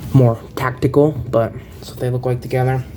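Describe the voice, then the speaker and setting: A man talks at a moderate speed in a flat monotone, his pitch in the middle range, with noticeable background noise behind him. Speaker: toy collector reviewer. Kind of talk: product review. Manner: casual, hesitant with many fillers.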